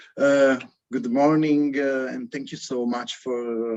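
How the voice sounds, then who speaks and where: The speaker talks in an Italian accent with fairly even intonation. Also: man. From Italy. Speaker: academic speaker. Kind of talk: academic talk. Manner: halting.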